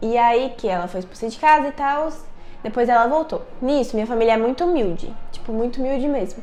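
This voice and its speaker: A woman speaks at a fairly high pitch with ordinary pitch variation. Music plays in the background, and there is audible room echo. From Brazil, Brasília. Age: 20s. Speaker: youtuber. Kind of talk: personal storytelling vlog. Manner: casual, conversational.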